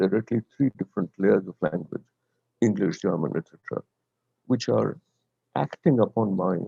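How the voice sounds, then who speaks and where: At a moderate pace, a man speaks in a fairly low, dark and mellow voice, the sound dry and close with no echo. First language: Bengali. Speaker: professor. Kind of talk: lecture.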